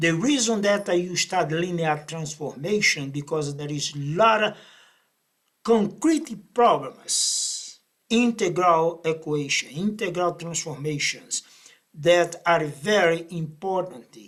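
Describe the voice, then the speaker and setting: In a Brazilian accent, a man talks very slowly at a high pitch with ordinary variation. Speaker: math professor. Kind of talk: lecture. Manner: halting.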